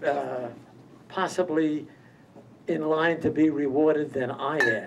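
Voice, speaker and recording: A man's fairly high-pitched, very slow speech with fairly even intonation, amid audible room echo and noticeable background noise. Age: 90s. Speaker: award honoree. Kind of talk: acceptance speech.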